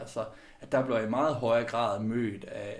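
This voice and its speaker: In a room with audible echo, a man speaks at a medium pitch with monotone, flat intonation. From West Jutland, Denmark (Skjern area). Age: 30s. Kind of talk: interview.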